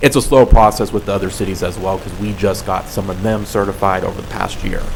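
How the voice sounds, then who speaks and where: Soft-spoken and fairly low-pitched, a man with an American accent talks at a fairly quick pace with fairly even intonation, over noticeable background noise and audible room echo. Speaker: public health program worker presenting to council. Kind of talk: presentation and Q&A at council meeting. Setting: city council meeting.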